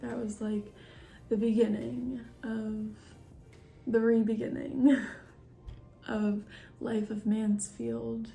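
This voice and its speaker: Soft-spoken and fairly high in pitch, a woman talks at a very slow pace with music in the background. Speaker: vlogger. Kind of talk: casual chat. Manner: halting.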